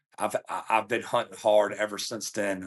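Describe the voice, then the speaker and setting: With a Virginia accent, a man speaks at a moderate pace in a fairly low voice. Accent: Virginia Southern US. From Virginia, near Richmond. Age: 40s. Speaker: coonhound hunter and trainer. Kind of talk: casual interview chat. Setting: podcast recording. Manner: halting, repeats words.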